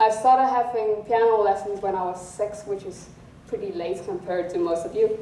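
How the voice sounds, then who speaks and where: Amid noticeable background noise and audible room echo, a woman of medium pitch talks at a fairly quick pace with ordinary pitch variation. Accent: non-native. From South Africa. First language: not English. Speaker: student speaker. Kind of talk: public talk. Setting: stage with audience.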